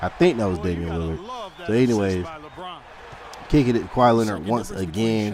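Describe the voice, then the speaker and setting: A man with a fairly low pitch speaks at a fairly quick pace, his tone animated and his intonation lively, yet with long, frequent pauses. Noticeable background noise and audible room echo surround him. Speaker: gaming youtuber. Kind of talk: gameplay commentary.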